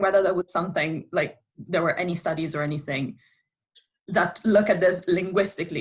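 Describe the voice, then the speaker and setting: In an Italian accent, a woman speaks at a moderate pace with fairly even intonation. Her voice is somewhat breathy. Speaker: audience member, linguist. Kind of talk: question in Q&A. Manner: halting, repeats words.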